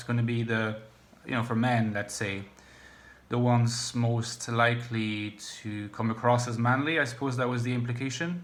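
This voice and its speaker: Audible room echo surrounds a man at medium pitch. His moderate-paced delivery has monotone, flat intonation. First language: French. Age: 30s. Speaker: YouTuber on personality types and philosophy. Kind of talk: casual vlog monologue. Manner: halting, many fillers.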